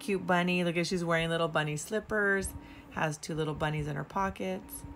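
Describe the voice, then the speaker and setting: Over light background noise, a woman speaks at a fairly low pitch with fairly even intonation. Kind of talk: casual haul show-and-tell. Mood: cheerful, delighted. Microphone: phone near.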